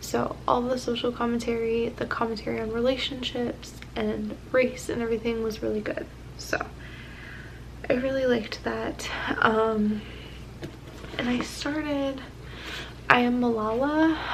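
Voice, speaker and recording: A soft-spoken woman with a fairly high voice speaks at a fairly slow pace, using long, frequent pauses and fairly even intonation. Noticeable background noise and audible room echo are present. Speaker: booktube vlogger. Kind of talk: casual vlog. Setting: at home at night.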